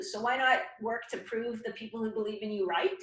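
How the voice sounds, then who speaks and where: At a moderate pace, a woman talks in a fairly high pitch with a normal speaking voice. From Canada. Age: 50s. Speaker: goalie fitness trainer. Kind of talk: casual interview chat.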